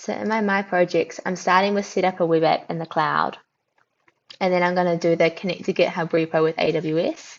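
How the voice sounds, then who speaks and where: A woman with a New Zealand accent, fairly low in pitch, at a fairly quick pace. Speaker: tech company founder, livestream host. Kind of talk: casual livestream chat. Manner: animated.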